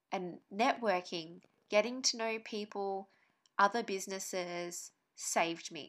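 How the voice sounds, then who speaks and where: Speaking with an Australian accent, a woman talks at a fairly slow pace in a medium pitch with ordinary pitch variation, on a very clean recording with a silent background. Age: 30s. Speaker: podcast co-host and online business owner. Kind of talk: podcast monologue, personal story.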